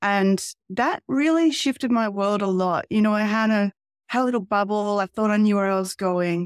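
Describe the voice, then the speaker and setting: With an Australian accent, the speaker keeps a moderate pace. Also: woman, dry, close sound with no echo, very clean recording, silent background. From regional Australia (Albury, NSW). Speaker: documentary filmmaker. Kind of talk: interview.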